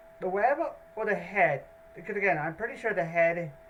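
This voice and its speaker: A woman's lively intonation at a moderate pace, with noticeable background noise. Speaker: YouTube reactor. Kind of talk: casual reaction commentary. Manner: halting.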